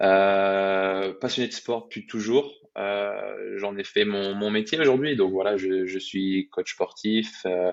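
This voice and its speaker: The speaker is a man with a fairly low pitch. He talks at a very slow pace with fairly even intonation. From France, Brittany. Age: 20s. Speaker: athlete and fitness coach. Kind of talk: podcast interview, casual storytelling. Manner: hesitant, many fillers and repetitions.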